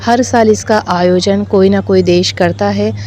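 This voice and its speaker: Over music in the background, a woman speaks in a calm tone with ordinary pitch variation. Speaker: Buddhist nun; Abhidhamma expert. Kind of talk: interview answer. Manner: calm, fluent.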